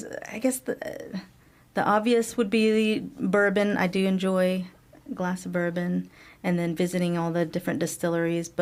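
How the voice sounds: With a Kentucky accent, the speaker talks at a moderate pace with ordinary pitch variation. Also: woman, medium pitch for a woman.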